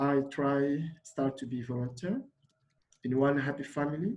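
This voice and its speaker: A man with a Congolese accent, somewhat breathy, fairly high-pitched, with ordinary pitch variation and a fairly slow pace. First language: Lingala. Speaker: refugee volunteer. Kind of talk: personal testimony at a summit. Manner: halting, many fillers.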